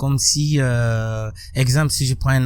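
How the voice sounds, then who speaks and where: Somewhat breathy man's voice, medium in pitch, dark and mellow in tone, with fairly even intonation. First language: Burkinabe local language (speaking French). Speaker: musician and social activist. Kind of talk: interview.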